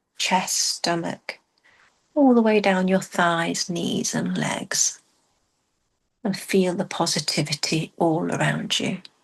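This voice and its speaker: Soft-spoken, a woman speaks very slowly with long, frequent pauses. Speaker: meditation guide. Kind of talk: guided meditation.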